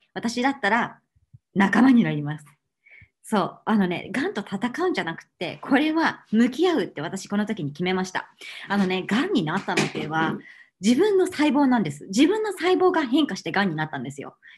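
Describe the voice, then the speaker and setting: Over noticeable background noise, a somewhat breathy woman speaks at a moderate pace and fairly high pitch, with very wide pitch swings and big swings in loudness. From Japan. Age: 30s. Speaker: cookery expert and cancer patient giving a talk; speaker. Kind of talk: online lecture. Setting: online video seminar. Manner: polite, formal with many fillers. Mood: warm, earnest. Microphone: webcam.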